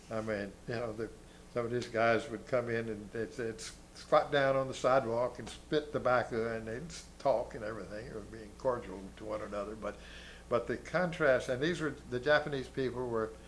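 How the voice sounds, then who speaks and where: A man with an American accent and vocal fry at medium pitch, moderate in pace, with ordinary pitch variation and big swings in loudness. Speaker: war veteran. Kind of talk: interview. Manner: halting.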